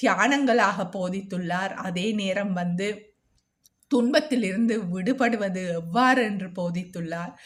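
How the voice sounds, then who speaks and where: A woman speaks in a Jaffna accent at a medium pitch. Her voice is somewhat breathy, with ordinary pitch variation. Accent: Jaffna Sri Lankan Tamil. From Sri Lanka, Jaffna. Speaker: video blogger sharing meditation experience. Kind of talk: personal testimony monologue.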